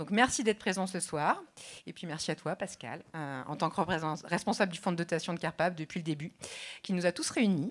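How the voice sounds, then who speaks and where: A woman talks at a fairly quick pace with ordinary pitch variation and big swings in loudness. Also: fairly low pitch for a woman, very clean recording, silent background. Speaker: rehabilitation physician. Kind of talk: conference speech. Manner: fast.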